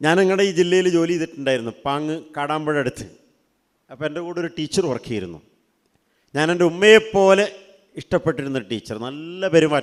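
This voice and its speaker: A man's fairly high-pitched voice with ordinary pitch variation, an unremarkable speaking voice. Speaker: Islamic teacher speaking to students. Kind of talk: religious talk to teenagers. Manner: conversational, asking audience questions.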